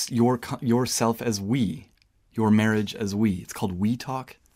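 The recording is very clean, with a silent background. A man with an unremarkable speaking voice talks at a medium pitch and a moderate pace with fairly even intonation. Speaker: podcast co-host. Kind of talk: casual chat.

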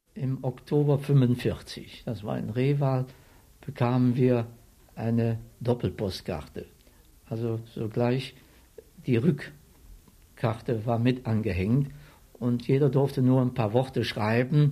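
Very slow and somewhat breathy, a man speaks at a medium pitch with a dark, mellow tone. His intonation is fairly even, broken by long, frequent pauses. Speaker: war veteran, retired civil servant. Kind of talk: interview testimony.

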